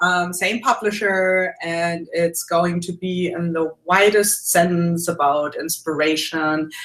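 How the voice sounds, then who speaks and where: A woman with a German accent at a fairly low pitch and a very slow pace, with fairly even intonation and hardly any pauses. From Germany. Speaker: mixed media artist and art teacher. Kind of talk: casual interview. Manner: hesitant with many fillers.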